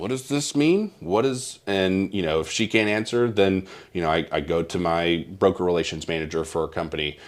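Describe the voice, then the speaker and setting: A man's very deep, low voice with a Southern US accent, ordinary pitch variation, a moderate pace and hardly any pauses, on a very clean recording with a silent background. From Mississippi. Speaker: insurance broker. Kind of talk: interview. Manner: halting.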